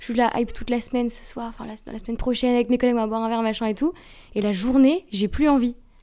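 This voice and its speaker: Her tone dark and mellow, a woman with a high pitch speaks at a very fast pace with fairly even intonation. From rural France. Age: 20s. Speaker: intern, lighting sales advisor. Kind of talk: casual chat. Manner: hesitant, loses words.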